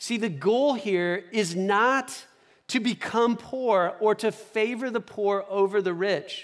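Speaking very slowly with a Midwestern American accent, a man uses a high pitch and ordinary pitch variation. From US Midwest, Omaha. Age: 40s. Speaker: pastor. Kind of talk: sermon. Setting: church. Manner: conversational.

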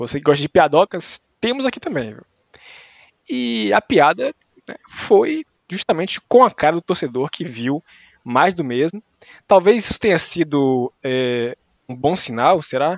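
Dry, close sound with no echo from a man at a fairly high pitch, fairly slow with long, frequent pauses, very wide pitch swings and big swings in loudness. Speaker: sports podcast host. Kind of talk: casual comedic sports chat.

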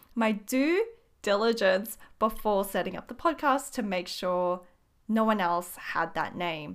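A woman uses an ordinary speaking voice at a medium pitch and a fairly slow pace. The recording is very clean, with a silent background. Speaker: podcast host and small business owner. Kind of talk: casual solo monologue. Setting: home studio.

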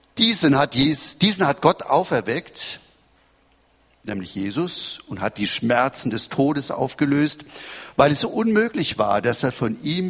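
A man with a fairly high pitch talks fairly slowly, his pitch swinging very widely. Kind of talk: sermon. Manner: formal, measured preacher's delivery, teaching and expounding scripture; earnest, quoting scripture verses aloud.

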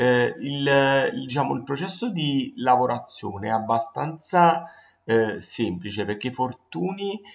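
The man's lively intonation plays out at medium pitch and a very slow pace. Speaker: design podcast host. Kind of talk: solo podcast talk on design history. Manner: hesitant, many fillers.

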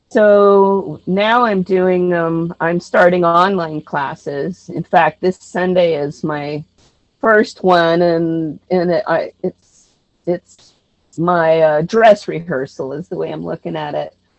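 A woman's fairly low voice in an American accent, very slow, with ordinary pitch variation. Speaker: actress and artist. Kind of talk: interview.

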